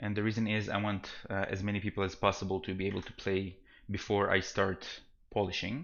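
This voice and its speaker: With a non-native accent, a man speaks at a fairly quick pace and fairly low pitch in a monotone, flat intonation. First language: not English. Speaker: game developer streamer. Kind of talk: live stream commentary. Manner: soft-spoken, quiet; halting, many fillers and restarts.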